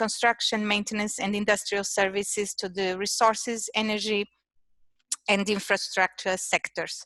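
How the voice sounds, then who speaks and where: Speaking in a Portuguese accent at a moderate pace, the voice stays monotone and flat, with a bright, sharp tone. The sound is dry and close, with no echo. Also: woman. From Portugal. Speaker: innovation manager at an engineering firm. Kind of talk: presentation. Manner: halting, many fillers.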